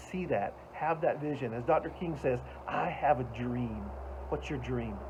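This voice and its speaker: At a moderate pace, a man speaks in a Southern US accent. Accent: Southern American. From US South, Atlanta, Georgia. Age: 60s. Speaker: motivational speaker. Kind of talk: motivational talk.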